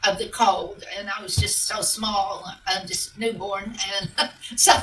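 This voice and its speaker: Music plays in the background as a woman with a fairly high pitch speaks amid audible room echo. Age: 70s. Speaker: author of western romance novels. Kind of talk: interview. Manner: hesitant, many fillers.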